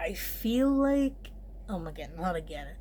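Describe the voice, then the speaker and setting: In a room with audible echo and noticeable background noise, a woman talks at a fairly slow pace. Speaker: vlogger. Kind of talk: casual vlog monologue. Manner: filler-heavy, rambling with many 'like's.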